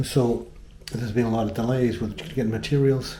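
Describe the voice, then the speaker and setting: A man speaks at a moderate pace in a dark, mellow, relaxed tone, somewhat breathy and with fairly even intonation, while room echo is audible. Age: 60s. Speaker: tile installer. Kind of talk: tutorial. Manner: casual, relaxed with filler words.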